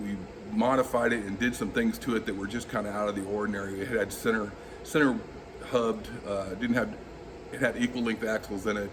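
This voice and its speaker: A man with an American accent and a fairly low voice talks fairly quickly over noticeable background noise. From Southern California. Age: 50s. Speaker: auto body restorer. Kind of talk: interview monologue. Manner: halting, with frequent fillers.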